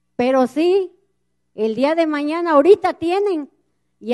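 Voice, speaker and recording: Delivered at a fairly slow pace, the speech shows ordinary pitch variation over a quiet background. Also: woman. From Mexico, central Veracruz. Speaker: community activist, river defender. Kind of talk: public speech at a gathering. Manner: impassioned. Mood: earnest, indignant. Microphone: handheld.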